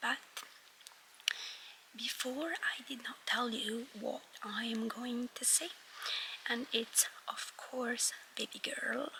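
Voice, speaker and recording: Noticeable background noise surrounds a woman who whispers at a very slow pace, with long, frequent pauses. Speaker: vlogger. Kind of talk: casual vlog talk. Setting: cinema.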